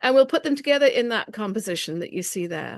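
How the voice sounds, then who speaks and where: A woman's fairly high voice with an English accent against a quiet background. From England. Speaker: quilting teacher. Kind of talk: presentation with slideshow.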